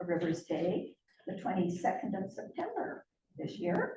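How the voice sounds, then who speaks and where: A woman's medium-pitched voice carries audible room echo. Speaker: biologist and conservation board member. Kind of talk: public lecture. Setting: public talk with live audience. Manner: naturally soft, not a projector. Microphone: too quiet for the room.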